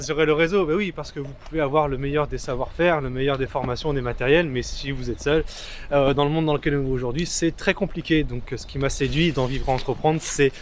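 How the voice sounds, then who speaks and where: A man's fairly high-pitched, normal speaking voice at a fairly quick pace, with fairly even intonation. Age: young. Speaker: freelance videographer. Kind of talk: interview. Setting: outdoors.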